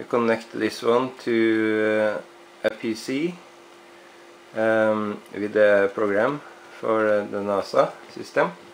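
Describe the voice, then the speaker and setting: At a very slow pace, a man talks in a medium pitch with fairly even intonation and long, frequent pauses. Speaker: RC hobbyist reviewer. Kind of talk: product review. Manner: halting, many fillers.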